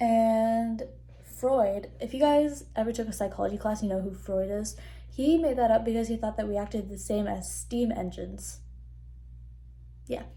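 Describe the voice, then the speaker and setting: Audible room echo surrounds a woman's animated tone as she talks at a moderate pace with long, frequent pauses. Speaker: student vlogger. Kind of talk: casual vlog talk.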